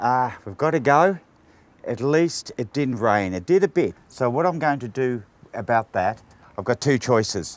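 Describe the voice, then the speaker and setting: With an Australian accent, a man talks at a moderate pace, his medium-pitched voice carrying lively intonation. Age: 60s. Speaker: painter. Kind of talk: tutorial. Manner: casual.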